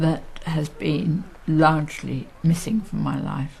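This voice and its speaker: A woman with a very deep, low pitch talks while noticeable noise fills the background. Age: 60s. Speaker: social care service user with MS. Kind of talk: interview testimony.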